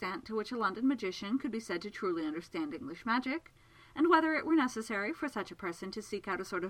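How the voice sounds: This natural reading voice carries lively intonation.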